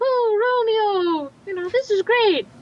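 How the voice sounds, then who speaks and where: A woman does a put-on character voice at an extremely high pitch and a fairly slow pace. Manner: dramatic.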